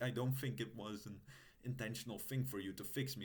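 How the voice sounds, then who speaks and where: With a non-native accent, a man speaks at medium pitch amid audible room echo. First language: not English. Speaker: roleplaying video creator. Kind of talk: in-character roleplay monologue to camera. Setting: recorded on an old laptop. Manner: halting, many filler sounds.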